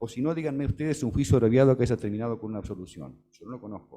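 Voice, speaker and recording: This man's voice has a dark, mellow tone and a medium pitch. He speaks at a very fast pace with ordinary pitch variation. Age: 60s. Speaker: law professor, panel speaker. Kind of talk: conference talk. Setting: auditorium with audience.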